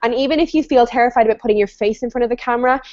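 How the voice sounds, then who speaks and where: A woman talks in a fairly high voice. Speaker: online business coach hosting a webinar. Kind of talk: live web show discussion. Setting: video call. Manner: fast; animated.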